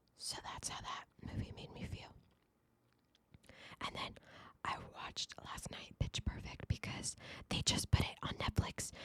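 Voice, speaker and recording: Whispering at a fairly slow pace, a woman leaves long, frequent pauses, her loudness swinging widely. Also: dry, close sound with no echo. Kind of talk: casual podcast talk to camera. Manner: casual, chatty, animated, reviewing movies and telling a story.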